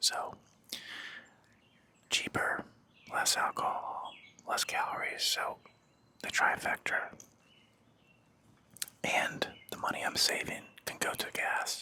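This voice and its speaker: A man whispering at a very slow pace in a relaxed tone, with long, frequent pauses and noticeable background noise. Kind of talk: casual talk to camera. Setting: outdoors by a fire pit. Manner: whispered, relaxed.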